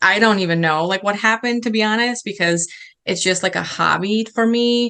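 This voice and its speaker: A woman with a Chicago accent speaks at a fairly quick clip in a fairly high, bright and sharp voice, her intonation fairly even. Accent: Chicago American English. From Chicago, raised in the US after early childhood in Serbia. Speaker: food blogger. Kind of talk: interview answer. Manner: casual, hesitant with fillers.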